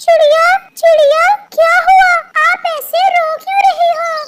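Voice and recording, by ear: An extremely high-pitched cartoonish character voice at a fairly slow pace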